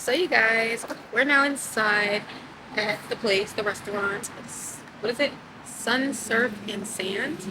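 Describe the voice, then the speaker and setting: Fairly high female voice at a very slow pace, with noticeable background noise. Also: ordinary pitch variation. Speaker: vlogger. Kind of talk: casual vlog. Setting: restaurant then beach, handheld camera.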